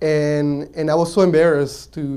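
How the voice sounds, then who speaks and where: A man's tone is dark and mellow. His intonation stays fairly even. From Mexico, raised partly in south Texas. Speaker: entrepreneur. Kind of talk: pitch-event personal story talk. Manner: hesitant, many fillers and restarts.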